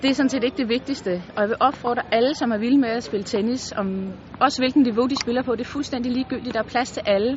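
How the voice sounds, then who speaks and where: Against noticeable background noise, a woman talks at a very fast pace in a high pitch. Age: 40s. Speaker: amateur tennis player. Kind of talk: testimonial interview. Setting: tennis resort in Turkey.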